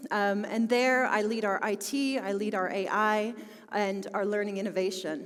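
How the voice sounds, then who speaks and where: A woman with a Philadelphia accent and fairly even intonation, plus audible room echo and noticeable background noise. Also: medium pitch for a woman, moderate pace, very even loudness. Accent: American, Philadelphia. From US, Philadelphia. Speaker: business school technology executive. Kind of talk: conference talk.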